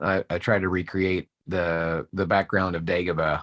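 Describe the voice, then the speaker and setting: Over a quiet background, a man speaks with a very deep, low pitch in a dry, close sound with no echo. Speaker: voice actor. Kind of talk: interview answer. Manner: witty, playful.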